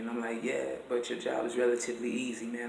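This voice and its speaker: Talking at a very fast pace and a medium pitch, a man is heard with audible room echo and noticeable background noise. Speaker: musician in a psychiatric ward. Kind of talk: casual vlog monologue. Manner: animated.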